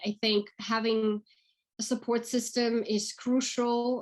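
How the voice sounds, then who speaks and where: In a Russian accent, a woman talks with a fairly high pitch and ordinary pitch variation. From Russia, St Petersburg. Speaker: actress and acting career coach. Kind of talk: interview. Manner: fast.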